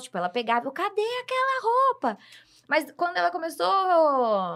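In a very clean recording with a silent background, a woman speaks in a raised, projected voice with a bright, sharp tone. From Brazil. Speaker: guest, host's sister. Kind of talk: casual chat.

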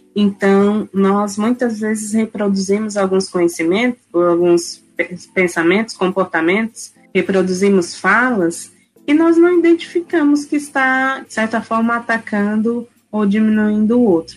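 The voice is somewhat breathy, with lively intonation. The pace is fairly slow. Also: woman, fairly high pitch for a woman. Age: 30s. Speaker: university professor. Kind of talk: interview. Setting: at home, remote recording.

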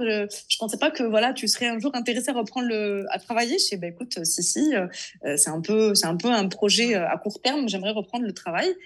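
A woman's fairly high voice at a fairly quick pace, with lively intonation. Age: 30s. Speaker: food content creator. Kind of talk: casual interview chat. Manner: halting, many repetitions.

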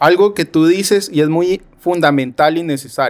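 Speaking very slowly, this man has a fairly high voice. His pitch varies in an ordinary way. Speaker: podcast host. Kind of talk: interview.

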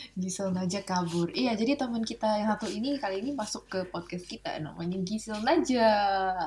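Talking at a fairly quick pace with hardly any pauses, a woman of medium pitch sounds somewhat breathy and uses lively intonation. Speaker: podcast co-host. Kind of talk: casual chat. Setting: video call.

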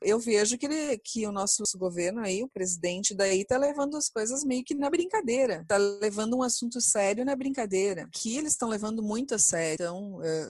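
Over noticeable background noise, a woman talks at a fairly quick pace with hardly any pauses, her fairly high voice carrying lively intonation. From Brazil. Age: 40s. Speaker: chemical engineer. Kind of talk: interview testimony.

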